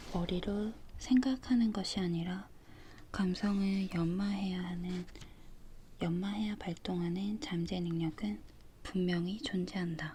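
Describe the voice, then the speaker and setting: A woman's calm, somewhat breathy voice with a dark, mellow tone, ordinary pitch variation, a very slow pace and long, frequent pauses. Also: medium pitch for a woman. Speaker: ASMR creator. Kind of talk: book reading ASMR with page-turning sounds. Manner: calm, soft, slow reading.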